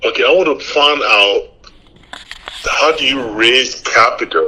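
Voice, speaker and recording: With a Liberian accent, the speaker talks at a fairly slow pace over noticeable background noise. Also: man. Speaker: aspiring real estate investor. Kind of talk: phone call with a coach.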